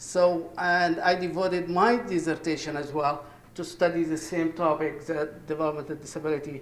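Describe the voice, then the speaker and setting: A man with an Egyptian accent talks at a fairly quick pace with fairly even intonation and a fairly high pitch. Noticeable background noise and audible room echo are present. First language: Arabic. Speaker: professor. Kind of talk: conference presentation. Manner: halting.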